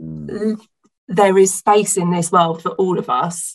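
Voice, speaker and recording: A woman speaks in a southern English accent with vocal fry. Her intonation stays fairly even. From southern England, Hampshire. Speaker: small business owner. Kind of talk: casual interview.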